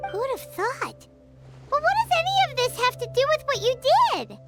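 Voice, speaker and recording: A squeaky, extremely high-pitched put-on character voice moves at a moderate pace. Faint music plays in the background. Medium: video game.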